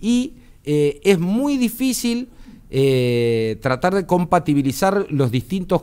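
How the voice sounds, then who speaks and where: Very wide pitch swings run through the man's speech. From Argentina. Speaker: electronics engineer, tech commentator; tech commentator. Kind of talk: explanatory interview on radio. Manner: hesitant, many filler words. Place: studio. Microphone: studio mic.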